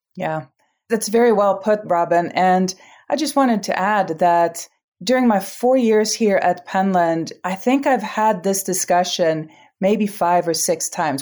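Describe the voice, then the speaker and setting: In a very clean recording with a silent background, a woman with an ordinary speaking voice and medium pitch speaks at a fairly slow pace with lively intonation. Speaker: executive director of a craft school. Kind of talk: interview.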